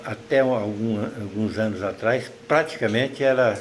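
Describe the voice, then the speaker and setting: Against noticeable background noise and audible room echo, a man speaks at a medium pitch with ordinary pitch variation. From Minas Gerais, Brazil (Triângulo Mineiro). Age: 80s+. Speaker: writer and retired teacher. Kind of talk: interview.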